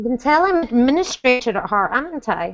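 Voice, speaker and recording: This woman has a Scottish accent. Her tone is animated. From Scotland. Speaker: book mentor. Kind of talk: casual chat. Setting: video call.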